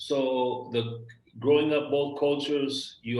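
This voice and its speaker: With audible room echo around him, a man speaks with fairly even intonation. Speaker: podcast host. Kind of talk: casual interview chat.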